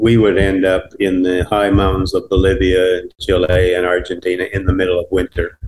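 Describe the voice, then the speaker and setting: A man with a Canadian accent speaks at a moderate pace, with hardly any pauses. His very deep, low voice is somewhat breathy and monotone, with flat intonation. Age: 80s+. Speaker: adventure cyclist. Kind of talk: interview. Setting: remote call.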